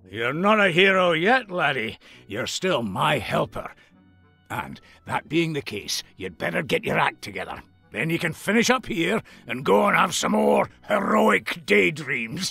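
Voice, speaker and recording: A put-on character voice speaks at a moderate pace. Faint music plays in the background. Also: man, fairly high pitch for a man. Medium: video game. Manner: teasing, chuckling.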